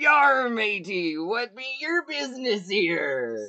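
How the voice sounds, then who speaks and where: This is a put-on character voice with a fairly high pitch. It moves at a very slow pace. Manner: gruff, questioning.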